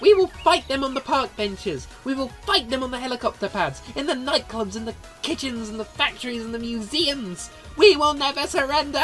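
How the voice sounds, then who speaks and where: Delivered at a fairly quick pace, a put-on character voice plays over clear background music. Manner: scatterbrained, excitable.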